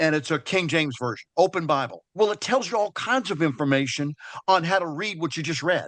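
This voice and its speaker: A man talks fairly quickly at a high pitch. The sound is dry and close with no echo, over a quiet background. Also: lively intonation. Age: 60s. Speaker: Bible study participant. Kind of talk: casual chat. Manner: halting.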